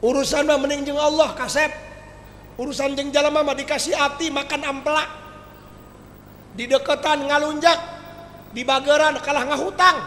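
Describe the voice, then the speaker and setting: An animated man speaks in a raised, projected voice at an extremely high pitch and a moderate pace, with long, frequent pauses. Audible room echo and noticeable background noise fill the recording. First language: Sundanese (speaking Indonesian). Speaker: Islamic preacher. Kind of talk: humorous sermon.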